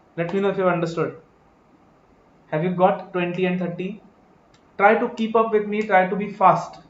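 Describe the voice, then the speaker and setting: Speaking at a fairly quick pace with long, frequent pauses, a man with a high pitch keeps a monotone, flat intonation amid audible room echo. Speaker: accounting exam teacher. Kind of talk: live online lecture. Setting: live stream class. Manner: fast.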